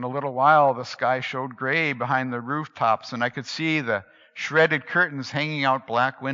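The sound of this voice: The clip carries an unforced reading voice.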